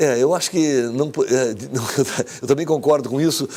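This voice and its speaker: A man speaks with a dark, mellow tone. His pitch sits fairly high. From southern Brazil. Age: 60s. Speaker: engineer, former basketball player. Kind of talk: TV interview. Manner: halting, many false starts.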